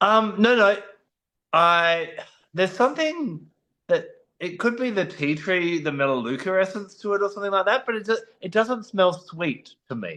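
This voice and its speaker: Raised and projected, a man's high, bright, sharp voice moves at a moderate pace with lively intonation over a quiet background. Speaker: essential oil expert, co-host. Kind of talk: casual discussion.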